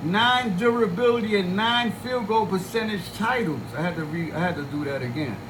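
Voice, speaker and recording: Over noticeable background noise and audible room echo, a man speaks at a moderate pace in a high voice with lively intonation. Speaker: sports channel host. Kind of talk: reading aloud.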